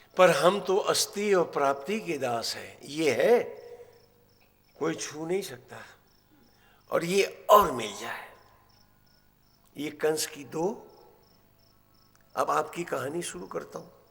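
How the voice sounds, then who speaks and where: Lively intonation, big swings in loudness and long, frequent pauses mark this voice, spoken with a non-native accent. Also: man, high pitch for a man. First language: not Marathi (speaking Hindi). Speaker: religious storyteller. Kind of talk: religious discourse. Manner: animated.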